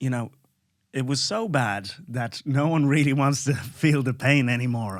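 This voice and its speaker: With an Irish accent, a man talks at a moderate pace with ordinary pitch variation on a very clean recording with a silent background. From Ireland, Dublin. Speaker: comedian. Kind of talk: casual chat. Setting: studio.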